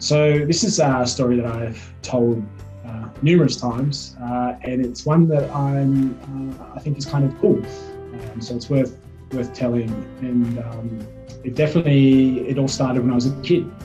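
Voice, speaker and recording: Music runs in the background. Over it, a man speaks at a moderate speed. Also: medium pitch for a man, ordinary pitch variation. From Canberra, Australia. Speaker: archaeologist. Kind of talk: interview answer.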